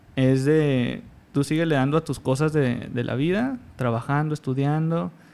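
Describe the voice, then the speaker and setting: A man at a fairly slow pace, an ordinary speaking voice with ordinary pitch variation. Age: 20s. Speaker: pro gamer. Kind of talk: casual interview.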